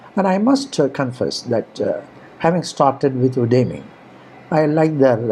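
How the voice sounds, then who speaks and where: Noticeable background noise sits under this recording. A man with an Indian accent talks at a fairly slow pace. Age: 70s. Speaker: online course instructor. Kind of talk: course introduction talk. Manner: halting, many fillers.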